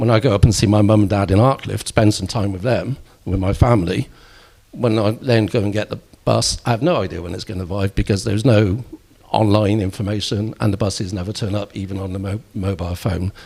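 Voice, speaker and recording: A man with a Bristol accent talks at a fairly quick pace with fairly even intonation. His fairly low voice has a dark, mellow tone and sounds somewhat breathy. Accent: Bristol accent, Bristol L. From Bristol, England. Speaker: local politician. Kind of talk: election hustings debate.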